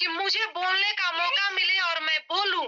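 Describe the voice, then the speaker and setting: This is a woman's voice. Her pitch is extremely high. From Bihar, India (Bettiah district). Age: 20s. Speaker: network marketing leader. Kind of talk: motivational talk. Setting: video call, sitting outdoors on campus. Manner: animated.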